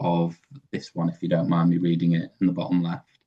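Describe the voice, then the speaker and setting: The voice has a dark, mellow tone. It speaks with a Yorkshire accent. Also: man. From northern England, Sheffield. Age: 30s. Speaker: web developer. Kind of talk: presentation.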